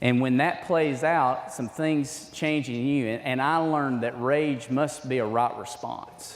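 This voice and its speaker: With an Alabama accent, a man of medium pitch talks with fairly even intonation and hardly any pauses. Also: fairly slow pace. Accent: Southern US (Alabama). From Alabama, US South. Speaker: men's ministry speaker. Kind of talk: sermon-style talk to men's group. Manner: halting.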